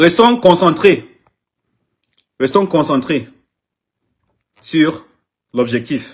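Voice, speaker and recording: A man's fairly high voice with lively intonation, a very slow pace and long, frequent pauses. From Anglophone Cameroon. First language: English (speaking French). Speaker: artist manager. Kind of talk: live social media video. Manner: halting, repetitive.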